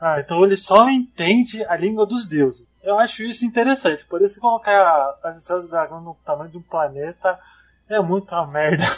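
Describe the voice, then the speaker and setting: Lively in intonation and high in pitch, a man speaks at a moderate pace with big swings in loudness. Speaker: podcast host. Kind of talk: casual chat.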